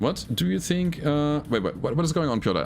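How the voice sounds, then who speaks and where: Lively intonation marks a voice with a German accent on a very clean recording with a silent background. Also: man. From Germany. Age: 40s. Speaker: gaming streamer. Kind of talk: live gameplay commentary. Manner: animated.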